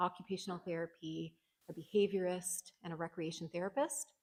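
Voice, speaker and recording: Soft-spoken and with a Canadian accent, a woman talks at a medium pitch in a dark, mellow tone. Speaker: social worker. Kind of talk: conference presentation. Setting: conference hall with audience.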